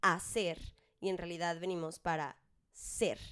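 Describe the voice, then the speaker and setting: A woman with a Mexican accent, fairly slow in pace, on a very clean recording with a silent background. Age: 20s. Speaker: podcast co-host, singer. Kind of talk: casual chat.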